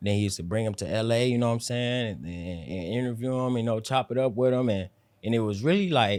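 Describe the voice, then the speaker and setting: Speaking at a very fast pace, a man lets his pitch vary in an ordinary way. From South Central Los Angeles. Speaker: rapper. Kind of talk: interview.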